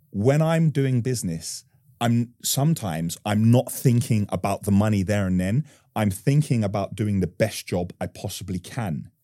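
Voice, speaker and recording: A dark, mellow tone comes through at a moderate pace on a very clean recording with a silent background. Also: man, fairly low pitch for a man. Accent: London. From Northwest London. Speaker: construction business owner. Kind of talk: interview.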